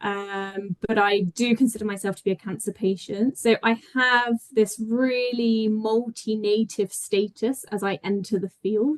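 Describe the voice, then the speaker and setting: A woman with a British accent at a fairly slow pace, in a dry, close sound with no echo. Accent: sounds very British. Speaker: PhD researcher and health insights manager. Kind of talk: conference talk. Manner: hesitant, with frequent ums and restarts.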